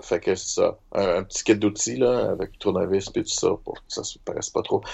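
A man talks at a fairly quick pace. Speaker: roleplaying game player. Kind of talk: tabletop roleplaying game play.

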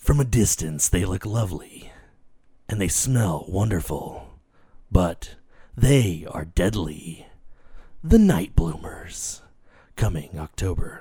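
In a put-on character voice, a man speaks with a very deep, low pitch at a fairly slow pace, leaving long, frequent pauses. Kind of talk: theatrical, promotional. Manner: dramatic, ominous.

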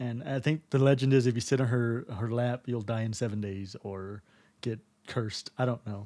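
A man with an American accent, a dark, mellow tone and ordinary pitch variation, on a very clean recording with a silent background. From Texas. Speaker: podcast co-host. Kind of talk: casual chat.

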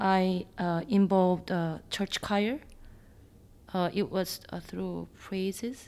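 The recording is very clean with a silent background. A very slow speaker with a Korean accent keeps the intonation fairly even. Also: woman, medium pitch for a woman. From Seoul, South Korea. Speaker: churchgoer. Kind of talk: interview. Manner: halting.

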